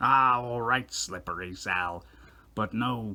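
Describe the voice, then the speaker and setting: Over a very clean recording with a silent background, a man does a cartoonish character voice at a medium pitch and a fairly slow pace. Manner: blustering, gruff.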